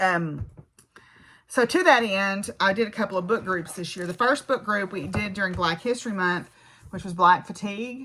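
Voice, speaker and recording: In a Southern US accent, a woman speaks at a medium pitch and moderate pace, her tone bright and sharp, with ordinary pitch variation. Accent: Southern American. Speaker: physics professor and craft vlogger. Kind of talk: casual vlog monologue. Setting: home farm. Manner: conversational, with fillers and restarts.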